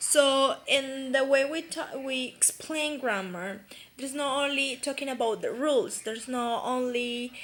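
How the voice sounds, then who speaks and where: A woman's high voice in a Spanish accent, at a fairly slow pace with ordinary pitch variation, over noticeable background noise. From Colombia, Pereira. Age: 20s. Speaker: university student. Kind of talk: class presentation. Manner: halting, many fillers.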